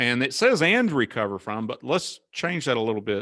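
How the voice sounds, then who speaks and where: A man speaks in a bright, sharp tone. The sound is dry and close with no echo, and the background is quiet. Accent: Southern US. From US South. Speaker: cybersecurity consultant. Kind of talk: webinar presentation. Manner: casual.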